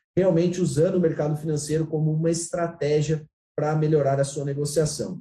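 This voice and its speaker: A man's fairly high-pitched, dark, mellow voice at a fairly quick pace, in a monotone, flat intonation. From Santa Catarina, Brazil. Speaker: agricultural market consultant. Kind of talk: interview on commodity markets.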